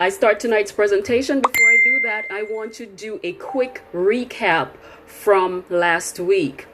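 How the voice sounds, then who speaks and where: Over noticeable background noise, a woman with a fairly high pitch speaks with big swings in loudness. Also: ordinary pitch variation. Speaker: leadership coach. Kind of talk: online webinar presentation. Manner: halting, tripping over words.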